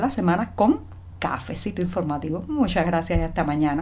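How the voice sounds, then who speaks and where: Talking at a fairly quick pace, a woman with a fairly low pitch and vocal fry moves through very wide pitch swings. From Cuba. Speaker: journalist hosting a daily news show. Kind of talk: daily news commentary. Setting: home by a window.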